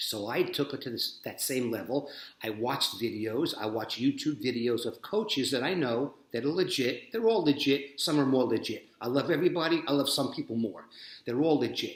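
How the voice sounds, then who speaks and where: His delivery is fairly quick with lively intonation. The man's pitch sits fairly high. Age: 60s. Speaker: jiu-jitsu practitioner and coach. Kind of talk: motivational monologue. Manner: animated.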